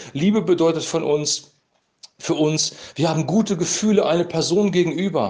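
This is a man talking. The room around him gives off a clear echo. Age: 50s. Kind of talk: devotional talk, sermon-like monologue.

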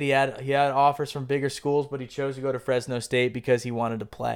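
Speaking at a fairly quick pace, a man talks. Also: very clean recording, silent background. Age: 20s. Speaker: sports podcast host. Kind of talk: solo casual monologue. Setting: recording at home on laptop. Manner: halting, many repeated words.

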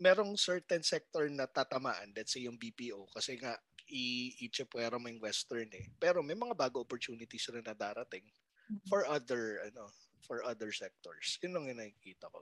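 A man's plain, everyday voice at a medium pitch, with lively intonation, big swings in loudness, a moderate pace, and a dry, close sound with no echo. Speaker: comedy podcast host. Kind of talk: casual chat.

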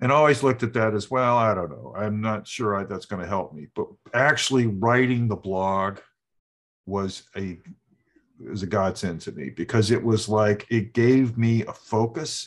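In an American accent, a man with a plain, everyday voice talks at a moderate pace and fairly low pitch with ordinary pitch variation against a quiet background. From US South. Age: 60s. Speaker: author. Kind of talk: interview.

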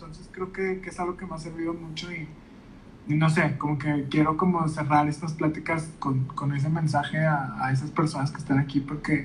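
A man speaks at a fairly quick pace. His pitch is fairly high, and his intonation stays fairly even. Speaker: podcast host. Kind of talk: casual interview chat. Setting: Instagram live video call.

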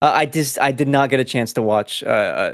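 A man's animated tone at a fairly quick pace, in a dry, close sound with no echo. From US Pacific Northwest, Mexican American family. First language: Spanish. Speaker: video game podcast host. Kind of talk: casual chat. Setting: online voice call. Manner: stutters and slurs words.

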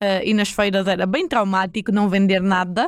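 A woman with a northern Portuguese accent. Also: very clean recording, silent background. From northern Portugal, Porto area (Maia). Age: 20s. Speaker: accountant. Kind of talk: casual interview. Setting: studio.

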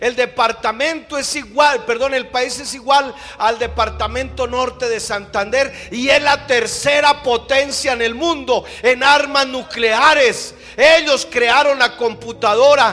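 A man speaks with an extremely high pitch in a raised, projected voice, at a very slow pace with hardly any pauses. His intonation stays fairly even over noticeable background noise. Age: 50s. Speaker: pastor. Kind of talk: sermon. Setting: church.

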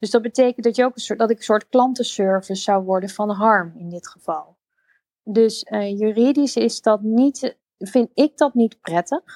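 An unremarkable speaking voice moves at a moderate pace with ordinary pitch variation and big swings in loudness, recorded dry and close with no echo. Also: woman, fairly high pitch for a woman. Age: 30s. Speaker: interior designer. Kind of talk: casual chat. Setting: live audio room (Clubhouse).

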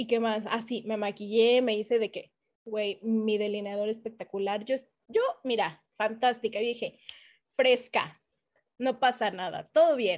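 An animated woman's voice, fairly high in pitch, at a fairly slow pace over a quiet background. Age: 30s. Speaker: podcast co-host. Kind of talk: casual chat.

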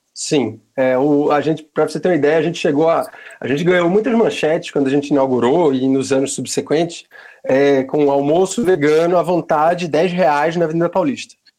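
The man's voice is dark and mellow, with a fairly high pitch. He moves at a fairly quick pace with ordinary pitch variation. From Pernambuco, northeastern Brazil. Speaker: vegan restaurant owner. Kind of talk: casual interview.

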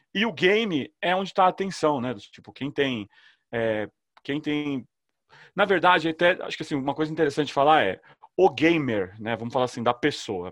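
Very wide pitch swings mark a man's voice in a very clean recording with a silent background and a dry, close sound with no echo. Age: 40s. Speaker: startup founder and CEO. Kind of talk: casual interview chat.

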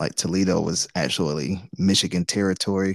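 With an American accent, a man speaks at a moderate pace in a very deep, low pitch with vocal fry, the sound dry and close with no echo. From Detroit, west side. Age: 40s. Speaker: podcast co-host. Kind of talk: casual chat.

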